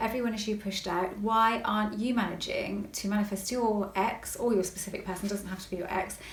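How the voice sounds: A woman with a West Country accent at a fairly quick pace, with audible room echo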